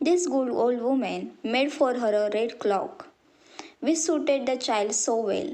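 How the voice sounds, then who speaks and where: At a fairly slow pace, a woman speaks with an Indian accent and ordinary pitch variation. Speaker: college student. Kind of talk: children's story narration.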